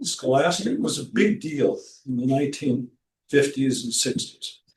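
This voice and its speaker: This man has a fairly high pitch and a somewhat breathy voice. He speaks at a fairly slow pace with ordinary pitch variation. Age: 70s. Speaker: poet. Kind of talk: talk at a book launch event. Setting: library event room with audience. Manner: halting, many fillers.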